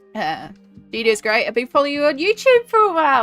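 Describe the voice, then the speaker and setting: Music plays in the background. A woman's pitch swings very widely. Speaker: artist and colouring book streamer. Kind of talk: casual live stream talk.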